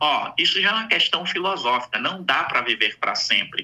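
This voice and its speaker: Lively intonation colors a man's plain, everyday voice, delivered at a fairly slow pace. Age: 60s. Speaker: psychologist. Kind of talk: radio interview.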